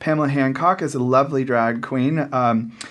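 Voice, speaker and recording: A man with an American accent speaks fairly slowly at a medium pitch with ordinary pitch variation. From California, US. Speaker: comms and marketing for a pride festival. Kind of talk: casual radio interview. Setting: radio studio.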